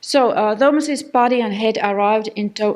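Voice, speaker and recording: A woman with a non-native accent and a fairly high pitch, speaking at a fairly slow pace. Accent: non-native English accent, self-noted. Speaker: academic researcher. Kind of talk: conference lecture. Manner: halting, many fillers.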